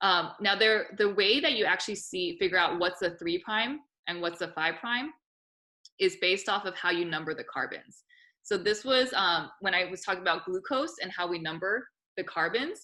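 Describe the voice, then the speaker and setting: Loud and bright, a woman with a sharp tone speaks at a medium pitch and a moderate pace, with ordinary pitch variation. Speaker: biology teacher. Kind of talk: lecture. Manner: talkative, casual.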